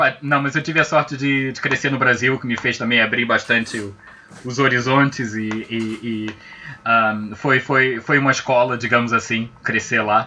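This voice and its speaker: A man with a strong Azorean accent, fairly even in intonation, over noticeable background noise. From Azores and Brazil. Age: 40s. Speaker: game studio project manager. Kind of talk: casual interview chat.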